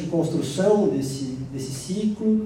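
Over noticeable background noise and audible room echo, a man speaks very slowly in a high voice. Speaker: psychoanalyst and panel moderator. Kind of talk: panel moderation. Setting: stage with audience.

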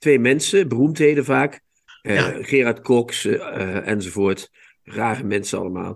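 Speaking with lively intonation, a man has a medium-pitched, unremarkable speaking voice. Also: fairly slow pace. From Limburg, Netherlands. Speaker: literary podcast host. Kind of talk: casual chat. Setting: video call.

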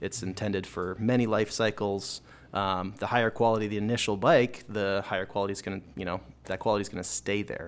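Speaking with an Upper Midwest accent at a fairly quick pace, a man with a fairly low pitch keeps his intonation fairly even on a very clean recording with a silent background. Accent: Upper Midwest American. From Minnesota, Minneapolis suburbs. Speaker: bicycle mechanic and bike shop manager. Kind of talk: interview. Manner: casual, many fillers.

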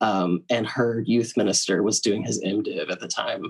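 A man with an ordinary speaking voice and medium pitch talks at a moderate pace over a quiet background. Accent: American. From US South, Tennessee. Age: 20s. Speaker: Episcopal priest. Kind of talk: casual chat.

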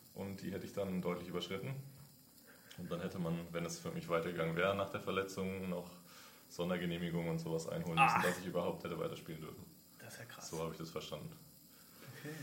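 A man with a very deep, low voice and a slight Franconian accent talks at a very fast pace with fairly even intonation, broken by long, frequent pauses. Noticeable background noise and audible room echo fill the recording. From Franconia, Nuremberg. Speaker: intern, former ice hockey goalie. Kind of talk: casual interview.

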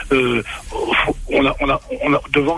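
Noticeable background noise is heard behind a man's voice. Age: 70s. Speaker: former rugby coach. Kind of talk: radio sports talk. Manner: halting, repetitive.

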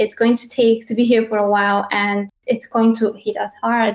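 A woman speaks in a Bulgarian accent at a fairly high pitch. Her pace is moderate and her intonation monotone and flat. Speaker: head of localization. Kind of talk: panel discussion.

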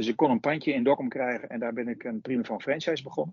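Speaking with an unremarkable speaking voice, a man uses a fairly high pitch with ordinary variation at a fairly quick pace. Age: 50s. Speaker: supermarket owner. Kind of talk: interview.

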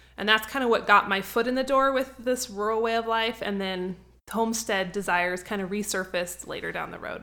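A bright, sharp tone in an American accent, fairly quick in pace and fairly even in intonation. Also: woman, fairly high pitch for a woman. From US Northwest, North Idaho. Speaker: homesteading author and blogger. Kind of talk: interview.

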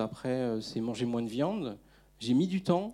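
A man with a dark, mellow tone speaks at medium pitch and a moderate pace in a very clean recording with a silent background. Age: 40s. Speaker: climate activist, debate organizer. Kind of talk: public debate after film screening. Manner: halting, many repetitions.

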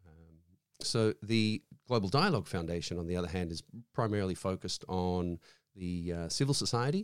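In an Australian accent, a man talks at a fairly quick pace with a fairly low pitch and ordinary pitch variation. The recording is very clean and dry, close with no echo and a silent background. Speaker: foundation representative. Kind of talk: interview. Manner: halting.

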